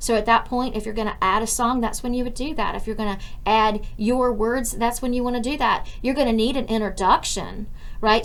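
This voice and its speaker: A woman's fairly high voice at a fairly quick pace with fairly even intonation and audible room echo. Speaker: college instructor. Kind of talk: recorded class tutorial. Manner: fast.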